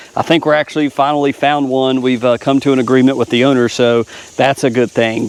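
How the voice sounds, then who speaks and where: A man uses a plain, everyday voice with fairly even intonation. The sound is dry and close, with no echo. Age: 40s. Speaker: lawn care YouTuber. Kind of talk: casual vlog talk. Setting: outdoors. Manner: casual, filler-heavy.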